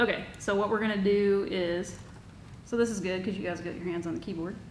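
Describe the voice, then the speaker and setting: Talking at a very fast pace with fairly even intonation, a woman is heard with audible room echo. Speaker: workshop instructor. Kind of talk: tutorial.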